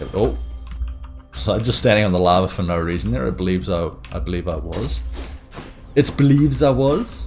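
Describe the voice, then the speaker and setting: Music plays in the background and audible room echo is present. A man with a New Zealand accent speaks at a moderate pace. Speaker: gaming streamer. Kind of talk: gameplay commentary.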